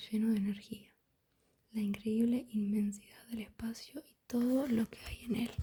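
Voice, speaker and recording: Soft-spoken, this voice moves at a moderate pace. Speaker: ASMR creator. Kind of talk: ASMR book reading.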